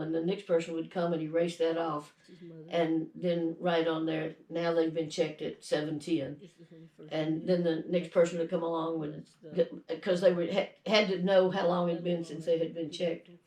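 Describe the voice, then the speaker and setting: Her voice fairly low in pitch, a woman speaks in a flat monotone. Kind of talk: family story telling, interview answer.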